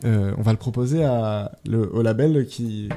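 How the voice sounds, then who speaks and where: With a dark, mellow tone, a man speaks at medium pitch and with fairly even intonation. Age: 20s. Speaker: music producer and composer. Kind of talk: radio interview. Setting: radio studio. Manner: hesitant, many fillers.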